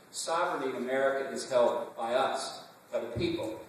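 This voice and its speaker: A man talks at a moderate pace in a room with strong echo. Light background noise is also present. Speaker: conference speaker. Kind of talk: political speech. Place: hall. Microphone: camera far.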